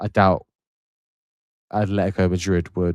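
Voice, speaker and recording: In a very clean recording with a silent background, a man speaks in a very deep, low pitch. His intonation is monotone and flat, and his pace is moderate. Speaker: football livestream host. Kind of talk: casual live stream chat. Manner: low energy. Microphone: mic very close to mouth.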